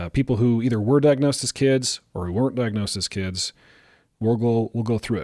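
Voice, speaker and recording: A man talks at a moderate pace and medium pitch, his tone dark, mellow and calm, with ordinary pitch variation. The sound is dry and close with no echo, on a very clean recording with a silent background. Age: middle-aged. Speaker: psychologist and podcast host. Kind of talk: casual chat.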